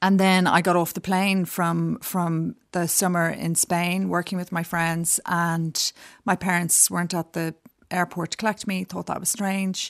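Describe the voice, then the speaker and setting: A woman with a Dublin accent speaks fairly slowly at a fairly low pitch in a monotone, flat way, on a very clean recording with a silent background and a dry, close sound with no echo. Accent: Dublin Irish. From Dublin, Ireland. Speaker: designer. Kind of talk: interview. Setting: studio.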